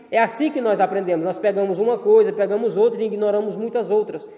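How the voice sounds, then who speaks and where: A man speaks in a room with audible echo. Noticeable background noise runs underneath. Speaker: theology teacher. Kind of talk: lecture. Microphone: poor audio quality in video lesson.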